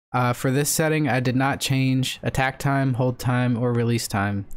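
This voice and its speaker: The recording is very clean, with a silent background. A man speaks at medium pitch and a moderate pace with fairly even intonation. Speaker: streamer. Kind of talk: tutorial. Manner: halting.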